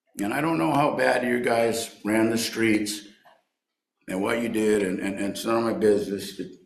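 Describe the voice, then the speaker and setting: Through audible room echo, a man at medium pitch speaks at a moderate pace with ordinary pitch variation. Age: 60s. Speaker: recovery speaker and baseball coach. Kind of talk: recovery meeting share. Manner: animated.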